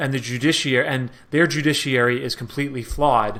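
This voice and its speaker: A man's medium-pitched voice with an American accent, bright, sharp tone and fairly quick pace. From New York. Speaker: Middle East analyst. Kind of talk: interview. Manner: casual, many fillers.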